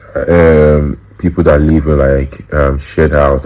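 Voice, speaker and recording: Monotone, flat intonation at a very slow pace over noticeable background noise. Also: man. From Nigeria. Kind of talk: interview answer. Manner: casual, hesitant.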